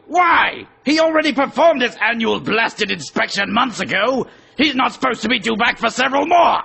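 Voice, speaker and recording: A man shouts in a put-on character voice with an extremely high pitch. He moves at a fairly quick pace. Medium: audio drama. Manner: timid, apologetic.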